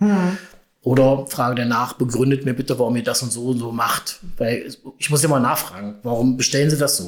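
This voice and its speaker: This man has a normal speaking voice at medium pitch, talking at a fairly quick pace with fairly even intonation. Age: 50s. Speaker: purchasing and housekeeping manager. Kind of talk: casual interview.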